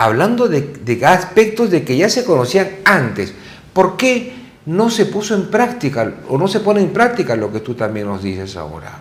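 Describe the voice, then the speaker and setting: In a room with audible echo, a man with a fairly high pitch and vocal fry speaks at a fairly slow pace, his pitch swinging very widely. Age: 60s. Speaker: TV talk show host. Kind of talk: interview conversation.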